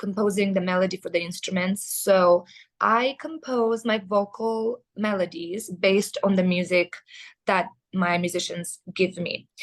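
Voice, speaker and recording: A woman with a Russian accent at medium pitch and a fairly slow pace. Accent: Eastern European, Russian-tinged English. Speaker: metal band vocalist. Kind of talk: interview. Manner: hesitant, many fillers.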